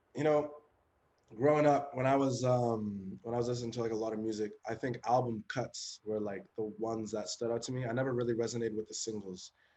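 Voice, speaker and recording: A man's medium-pitched, dark, mellow voice in a western Canadian accent, fairly quick and fairly even in intonation. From western Canada (Chilliwack, British Columbia). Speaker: rapper. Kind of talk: interview. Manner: casual, many fillers.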